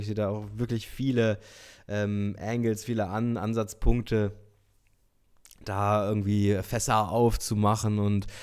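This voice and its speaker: The recording is very clean, with a silent background. The intonation stays monotone and flat. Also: man. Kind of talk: casual talk to camera.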